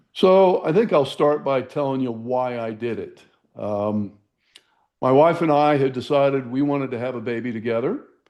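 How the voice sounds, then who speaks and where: In an unremarkable speaking voice, a man speaks at a medium pitch and a moderate pace with ordinary pitch variation. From US South. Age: 60s. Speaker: supplement company founder. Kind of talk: interview.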